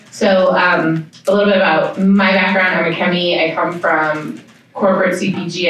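With strong room echo around her, a woman speaks in a fairly bright tone with little pitch movement.

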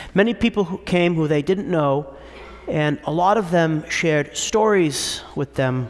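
A man's fairly high voice, animated and warm in tone, with ordinary pitch variation at a fairly slow pace. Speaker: priest. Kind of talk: sermon. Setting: church. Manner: clear, persuasive preacher's cadence with a laugh and a storytelling tone. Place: church. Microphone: podium.

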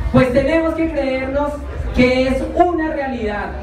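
A woman's high voice with fairly even intonation, audible room echo and noticeable background noise. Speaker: candidate. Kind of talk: campaign speech. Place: bar. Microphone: pa.

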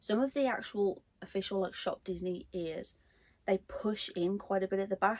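The woman's pitch varies in an ordinary way as she talks. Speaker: collector vlogger. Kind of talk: casual unboxing vlog chat. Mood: delighted, gushing. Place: home room.

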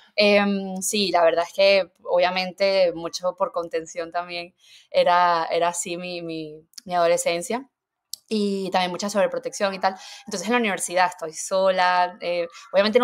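At a moderate pace, a woman speaks in a plain, everyday voice of medium pitch with fairly even intonation. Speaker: nutritionist. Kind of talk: casual interview chat.

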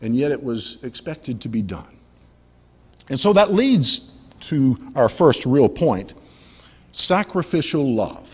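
A man's fairly high, somewhat breathy voice at a very slow pace, with very wide pitch swings and long, frequent pauses. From US South, Montgomery, Alabama; Alabama. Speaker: pastor. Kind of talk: sermon. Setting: church. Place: church. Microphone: podium.

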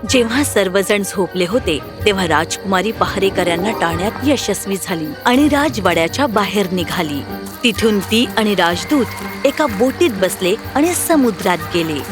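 A woman speaks with lively intonation and few pauses. Clear music plays in the background. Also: medium pitch for a woman, moderate pace.

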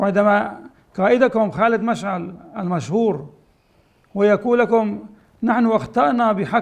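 A man talks at a high pitch and a fairly slow pace. The background is quiet. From Syria, Aleppo; Syria. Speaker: rabbi. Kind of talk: public appeal. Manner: halting. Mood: earnest, pleading. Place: home room.

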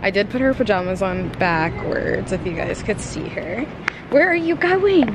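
A dry sound with no echo at a moderate pace, with noticeable background noise. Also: woman. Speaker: parent vlogger. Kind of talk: casual vlog chat. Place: hall. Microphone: phone near.

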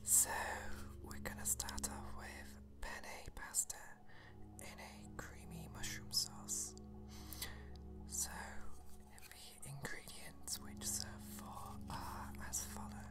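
The speech moves at a very slow pace with long, frequent pauses. Music plays clearly in the background. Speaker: ASMR recipe reader. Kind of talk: ASMR reading of a cookbook recipe. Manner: soft, hushed ASMR reading voice. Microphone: phone near.

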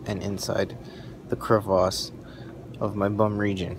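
Over noticeable background noise, a man talks at a fairly slow pace in a fairly low pitch, his intonation fairly even. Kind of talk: casual vlog chat. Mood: groggy, joking after procedure. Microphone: phone near.

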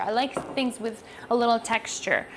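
A woman speaks at a moderate pace, with light noise in the background. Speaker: cooking host. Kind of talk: tutorial. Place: kitchen. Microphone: lapel.

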